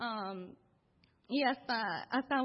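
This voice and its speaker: A woman is talking. Her pitch stays fairly level throughout. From East Los Angeles. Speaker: church member sharing testimony. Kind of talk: testimony. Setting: church with congregation.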